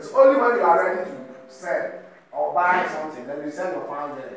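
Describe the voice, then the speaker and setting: A man talks at a moderate pace. There is strong room echo and noticeable background noise. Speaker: presenter. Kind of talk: tutorial. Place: hall. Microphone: camera far.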